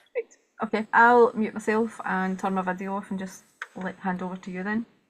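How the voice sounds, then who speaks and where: The speaker talks at a fairly quick pace in a Scottish accent with monotone, flat intonation. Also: woman, medium pitch for a woman. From Scotland. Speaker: webinar host. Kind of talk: event introduction. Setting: video call. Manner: fast.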